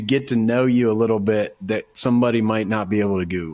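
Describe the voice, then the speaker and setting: This man has a plain, everyday voice with an American accent, a medium pitch, ordinary pitch variation and a fairly quick pace. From Ohio, Dayton area. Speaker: podcast host. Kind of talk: casual interview; show intro.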